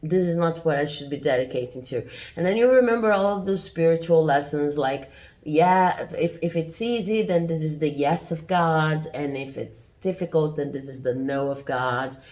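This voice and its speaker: A woman at a moderate pace, her pitch very deep and low. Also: ordinary pitch variation. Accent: non-native. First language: not English. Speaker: tarot reader. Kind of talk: tarot reading. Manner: hesitant, many fillers.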